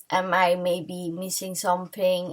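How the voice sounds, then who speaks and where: A very slow woman's voice at medium pitch, with a non-native accent. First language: not English. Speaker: tarot reader. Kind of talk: tarot reading to camera. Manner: halting, many fillers and restarts.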